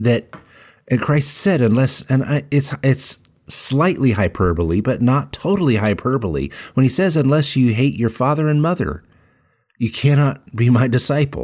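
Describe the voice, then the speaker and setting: Lively intonation marks a man's normal speaking voice at a medium pitch. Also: moderate pace, very clean recording, silent background. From central Colorado. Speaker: podcast co-host. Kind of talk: casual chat.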